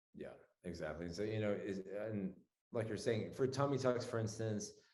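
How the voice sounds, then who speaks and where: There is audible room echo as a man talks at a moderate pace. His voice sits fairly low, with ordinary pitch variation. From Lebanon, moved to US at twelve. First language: Arabic. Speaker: plastic surgeon. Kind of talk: casual interview.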